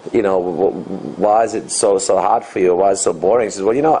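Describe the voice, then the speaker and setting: A man speaks in an Australian accent. There is noticeable background noise. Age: 50s. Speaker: dating coach and author. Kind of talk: interview.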